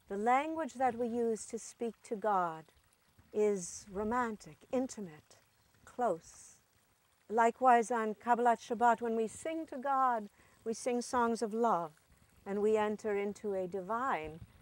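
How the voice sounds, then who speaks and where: A woman with an ordinary speaking voice talks at a fairly slow pace, her pitch fairly high with ordinary variation. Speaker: actor, storyteller. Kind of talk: spoken introduction to a story, meditative.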